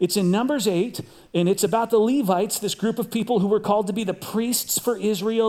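A man talks at a very fast pace with a high pitch, a dark, mellow tone and fairly even intonation. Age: 50s. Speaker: pastor. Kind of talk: sermon.

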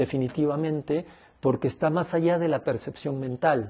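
Dark, mellow tone from a man, his pitch varying in an ordinary way. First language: Spanish. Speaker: ayahuasca healer. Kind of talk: interview.

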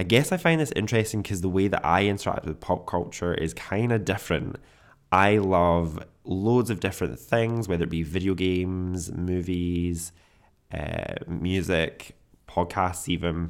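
A man's very deep, low voice in a Scottish accent, with ordinary pitch variation and a moderate pace, on a very clean recording with a silent background. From Scotland. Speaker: podcast host. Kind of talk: solo podcast monologue.

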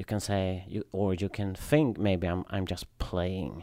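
A man speaks in a dark, mellow tone with a Swedish accent. The sound is dry and close, with no echo. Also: very clean recording, silent background. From southern Sweden. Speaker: high wheel bicycle racer. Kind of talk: casual chat. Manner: halting.

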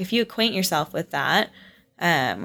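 Fairly low-pitched woman at a moderate pace, on a very clean recording with a silent background. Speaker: fitness instructor. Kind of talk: casual chat. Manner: animated.

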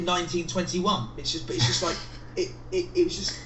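With an English accent, a man talks at a fairly slow pace. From England. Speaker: guest. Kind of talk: casual chat.

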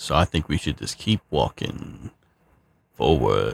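A man's very slow, creaky, fry-laden voice. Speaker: tabletop game player. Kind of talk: tabletop roleplaying game session.

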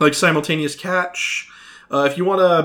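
A man talks at a fairly quick pace in a high pitch. His tone is bright and sharp. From United States (moved around). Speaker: podcast co-host, movie reviewer. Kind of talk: casual chat. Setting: studio with mics, drinking beer.

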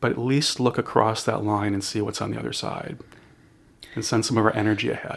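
Fairly low male voice with vocal fry, fairly quick pace and fairly even intonation. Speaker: shaman and spiritual counselor. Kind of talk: casual interview conversation. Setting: quiet room, in person.

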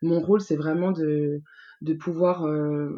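A woman speaks with a dark, mellow tone and fairly low pitch, her intonation fairly even over a quiet background. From Franche-Comté, France. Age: 20s. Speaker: beauty pageant committee president. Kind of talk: casual interview.

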